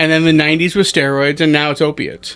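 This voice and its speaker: Loud and animated, a man with an American accent speaks at a fairly quick pace in a fairly high pitch with a bright, sharp tone, on a very clean recording with a silent background. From US, DC area. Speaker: stand-up comedian. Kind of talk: podcast interview.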